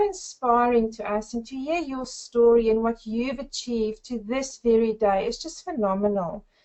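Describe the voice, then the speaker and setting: With a South African accent, a woman speaks in a high voice at a moderate pace. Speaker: network marketer. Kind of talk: webinar presentation. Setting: webinar.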